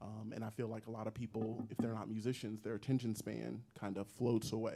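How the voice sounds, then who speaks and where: Music plays in the background as a man speaks at a fairly quick pace. His fairly low pitch stays monotone, with flat intonation. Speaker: singer-songwriter. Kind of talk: casual interview chat. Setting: live stream.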